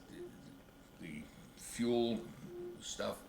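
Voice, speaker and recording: A man is whispering. There is noticeable background noise behind him. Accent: American. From United States. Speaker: WWII veteran, former Air Force radio operator. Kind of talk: interview answer. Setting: home video, camcorder.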